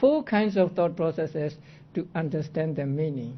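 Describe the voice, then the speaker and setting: Lively intonation runs through this man's speech. He talks with a non-native accent. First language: not English. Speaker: Buddhist monk teaching Abhidhamma. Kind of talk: lecture.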